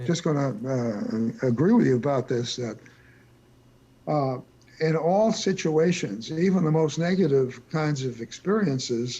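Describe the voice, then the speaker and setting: A dark, mellow, somewhat breathy voice with lively intonation. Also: man. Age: 80s+. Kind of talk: interview answer. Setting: video call.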